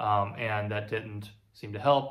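Ordinary pitch variation colors a man's speech. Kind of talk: tutorial. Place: workshop.

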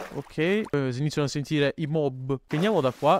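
Noticeable background noise sits behind a man speaking at a fairly high pitch. His pitch varies in an ordinary way, and the sound is dry and close with no echo. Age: 20s. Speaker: gaming YouTuber. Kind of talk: gameplay commentary. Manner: animated.

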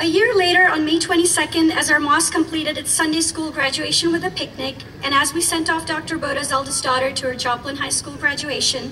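Raised, projected female voice, high in pitch with ordinary pitch variation, at a fairly quick pace over light background noise. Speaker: rally speaker, community member. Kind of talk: rally speech, warm and earnest, prepared remarks given to a crowd. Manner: warm, measured, sincere. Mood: earnest, solemn. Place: street.

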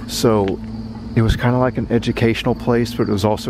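The recording has a dry sound with no echo. A man speaks over noticeable background noise. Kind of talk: casual vlog chat. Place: street. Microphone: phone near.

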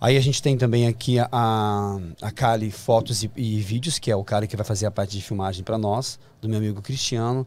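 A man talks at a fairly quick pace. His intonation is fairly even, and the sound is dry with no echo. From Brazil. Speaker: fashion designer and actor; actor. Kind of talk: interview. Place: studio. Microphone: studio mic.

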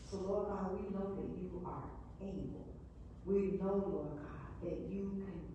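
A woman is speaking with strong room echo. Light background noise can be heard. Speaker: Sunday school teacher. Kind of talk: spoken prayer. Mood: earnest, fervent. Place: church. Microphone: camera far.

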